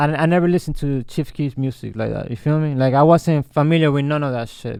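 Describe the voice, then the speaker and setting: A man at a fairly high pitch, speaking at a very fast pace with fairly even intonation. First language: Spanish. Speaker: rapper. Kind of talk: interview. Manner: halting.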